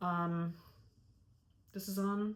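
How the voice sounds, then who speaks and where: A woman's somewhat breathy voice sits at a fairly low pitch. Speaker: knitting podcaster. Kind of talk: casual talk to camera. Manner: mumbling, hesitant.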